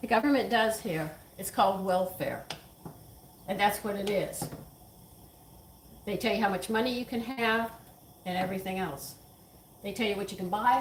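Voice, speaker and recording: Over noticeable background noise and audible room echo, a woman with an American accent speaks at a moderate pace and medium pitch, with ordinary pitch variation and long, frequent pauses. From Texas. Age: 70s. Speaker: home cooking channel host. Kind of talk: casual cooking chat with opinions. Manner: opinionated, emphatic.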